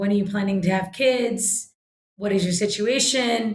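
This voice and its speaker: An American-accented woman speaks at a fairly high pitch. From US, New York City. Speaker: social entrepreneur. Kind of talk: podcast interview. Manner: animated.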